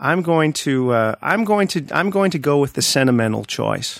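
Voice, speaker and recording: With lively intonation and a moderate pace, a man talks in a plain, everyday voice. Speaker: podcast panelist. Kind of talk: casual panel chat.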